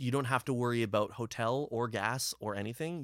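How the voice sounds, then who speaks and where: This very clean recording, with a silent background, captures a man speaking at a medium pitch. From Ontario, Canada (Brampton). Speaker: punk musician (drummer). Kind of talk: casual chat. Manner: animated.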